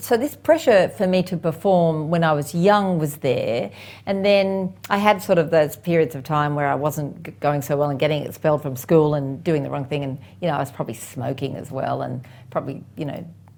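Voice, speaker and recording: A woman's very deep, low voice with an Australian accent, ordinary pitch variation and a fairly quick pace, on a very clean recording with a silent background. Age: 60s. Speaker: property investment expert. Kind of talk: podcast interview.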